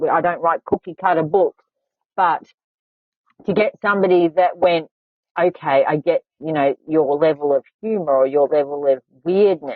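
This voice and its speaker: Pausing long and often, a woman with an Australian accent speaks at a moderate pace, her fairly low pitch showing ordinary variation. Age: 40s. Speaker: podcast host; author. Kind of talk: casual chat.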